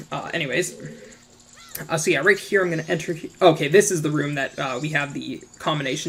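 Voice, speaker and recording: Noticeable background noise under talking at a fairly quick pace. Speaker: gaming YouTuber. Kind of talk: gameplay commentary. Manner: hesitant, many fillers; fast.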